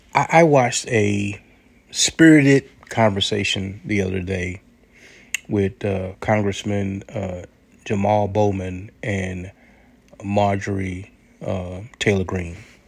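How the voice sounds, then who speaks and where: With an American accent, a man talks at a very slow pace in a fairly low pitch, leaving long, frequent pauses. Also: ordinary pitch variation. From United States. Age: 60s. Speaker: commentary podcaster. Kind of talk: monologue commentary. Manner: halting, repeated words.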